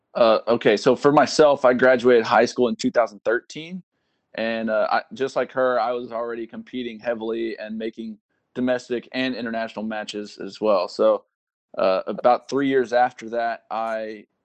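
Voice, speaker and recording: A man with an American accent and an ordinary speaking voice, medium in pitch, at a moderate pace with fairly even intonation, in a dry, close sound with no echo. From Texas. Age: 20s. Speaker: army soldier and Olympic sport shooter. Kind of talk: interview.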